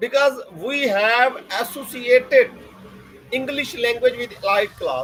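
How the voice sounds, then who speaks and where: An extremely high-pitched man, fairly slow, with fairly even intonation, long, frequent pauses, and noticeable background noise. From southern Punjab, Pakistan (Layyah district). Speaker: university lecturer. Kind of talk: podcast interview.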